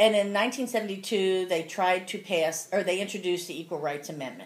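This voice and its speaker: A woman speaks in a US Midwestern accent. Her pitch is medium, with ordinary pitch variation. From Cincinnati, Ohio (US Midwest). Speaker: grandmother interviewed for school project. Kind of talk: casual interview.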